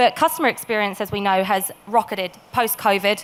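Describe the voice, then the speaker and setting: Very fast pace from a woman with a British accent, medium pitch, fairly even intonation. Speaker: tech company sales specialist. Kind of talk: conference presentation. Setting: stage with audience.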